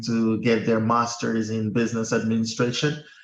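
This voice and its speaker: A man speaks with a Portuguese accent. His voice sits at medium pitch. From Guinea-Bissau. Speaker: accountant. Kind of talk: interview.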